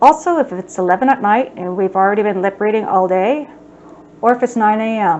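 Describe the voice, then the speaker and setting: A woman talking at a fairly quick pace. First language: American Sign Language. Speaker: sign language instructor. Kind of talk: educational talk.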